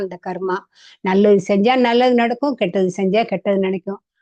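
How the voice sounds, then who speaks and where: Against a quiet background, a woman speaks at a fairly high pitch with a dark, mellow tone and fairly even intonation. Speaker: grandmother vlogger. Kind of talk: casual monologue. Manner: halting.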